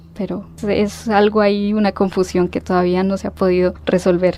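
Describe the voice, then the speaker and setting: Monotone, flat intonation marks a woman's dark, mellow tone. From Mexico City, Mexico until 12, then Colombia (Pereira, Manizales). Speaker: historian, university alumna. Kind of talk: radio interview.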